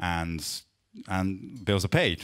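A man with a fairly low pitch against a quiet background. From Japan. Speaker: interviewer and interpreter, guitar company specialist; interviewer. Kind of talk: interview at a live talk event, interpreting. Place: shop. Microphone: handheld.

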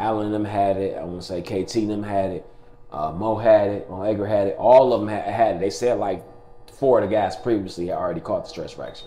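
Over noticeable background noise and audible room echo, a man speaks fairly quickly, his loudness rising and falling sharply. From Detroit east side, Michigan. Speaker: former college basketball player. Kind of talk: interview testimony. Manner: casual, many fillers.

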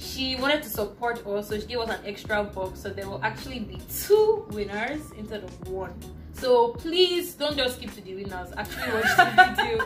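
A woman talks at a moderate pace with big swings in loudness, and clear music plays in the background. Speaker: vlogger host. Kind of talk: casual vlog chat. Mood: playful, laughing. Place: home room. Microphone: phone near.

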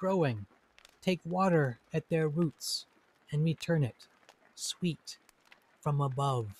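The tone is gentle and warm, somewhat breathy. The sound is dry with no echo. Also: man. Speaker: teacher and poet-translator. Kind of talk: poem reading and short talk. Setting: recorded indoors, rain audible. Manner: slow, calm, measured, contemplative; gentle, warm, reflective. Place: home room. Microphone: studio mic.

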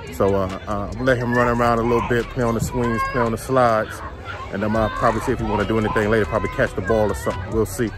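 Very fast speech, dry with no echo, over clear music in the background. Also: man. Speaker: family vlogger. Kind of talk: casual vlog chat. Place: street. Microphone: phone near.

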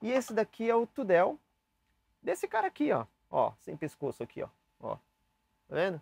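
Recorded with a dry, close sound and no echo, a man speaks at a moderate pace with long, frequent pauses and big swings in loudness. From Brazil, São Paulo. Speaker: saxophone teacher. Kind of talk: tutorial. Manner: casual, chatty.

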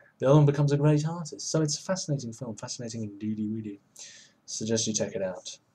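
Somewhat breathy, a man speaks at a very fast pace with ordinary pitch variation. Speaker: film list vlogger. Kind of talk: casual vlog chat. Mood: playful, joking. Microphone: webcam.

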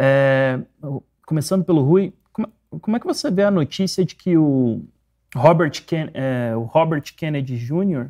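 The pace is fairly slow. The background is quiet. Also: man. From Brazil. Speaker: show moderator; program host. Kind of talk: live political discussion. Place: studio. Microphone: lapel.

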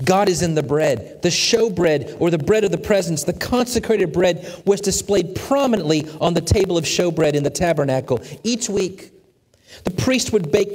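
Against a quiet background, a man talks at a moderate pace. His pitch is high, with ordinary variation. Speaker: preacher, church sermon speaker. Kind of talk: sermon, teaching lesson. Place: church. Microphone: headset.

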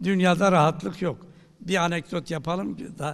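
Very slow speech from a man, with a quiet background. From Turkey. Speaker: professor of theology; professor giving a talk. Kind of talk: lecture. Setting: university lecture hall with audience. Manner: halting, many filler sounds. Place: hall. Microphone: podium.

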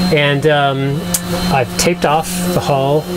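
A man speaks over loud background noise. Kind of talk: tutorial. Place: boat. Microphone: phone near.

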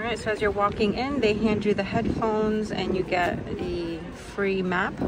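Crowd noise carries in the background as a woman speaks in a dry sound with no echo. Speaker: travel vlogger. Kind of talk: casual vlog chat. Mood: cheerful, upbeat. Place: bus. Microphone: phone near.

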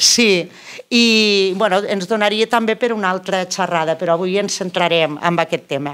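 A woman with a Catalan accent, medium pitch, moderate pace and ordinary pitch variation. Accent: Lleida Catalan. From Catalonia, Lleida; Catalonia. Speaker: event moderator. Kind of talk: speaker introduction. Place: meeting room. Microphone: handheld.

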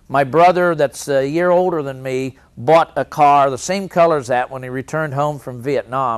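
The man talks at a moderate pace. The variation in his pitch is ordinary. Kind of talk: interview answer. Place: hall. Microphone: lapel.

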